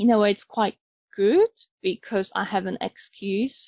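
In a Polish accent, the speaker talks at a moderate pace. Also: woman. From Poland. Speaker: neurodiversity trainer and coach. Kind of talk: interview. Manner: hesitant, many fillers.

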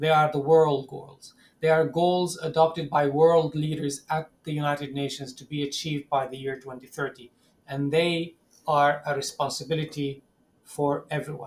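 At a moderate pace, a man with a fairly high voice speaks in a flat monotone. He is somewhat breathy, and his loudness swings widely. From West Bank, Palestine. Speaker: UN communications director. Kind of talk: interview.

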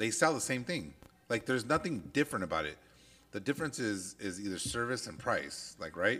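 A loud man at a medium pitch, with vocal fry and very wide pitch swings. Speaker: podcast co-host, industrial supply branch manager. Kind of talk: casual chat.

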